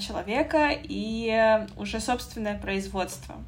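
With audible room echo, a woman speaks at a fairly high pitch with ordinary pitch variation. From Russia, North Caucasus region. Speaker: podcast host. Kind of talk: interview. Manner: animated.

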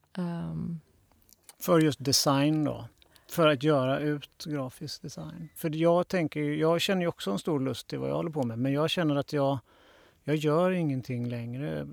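Pitched fairly high with ordinary variation, a man speaks in a normal speaking voice at a fairly slow pace, the sound dry and close with no echo on a very clean recording with a silent background. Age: 40s. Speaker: podcast host, graphic designer. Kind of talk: interview. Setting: studio.

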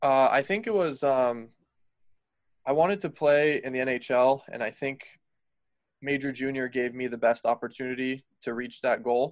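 Speaking with an American accent at a moderate pace, with ordinary pitch variation and long, frequent pauses, the voice sits on a very clean recording with a silent background. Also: man, medium pitch for a man. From US, Colorado. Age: 20s. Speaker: former ice hockey player. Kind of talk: casual interview.

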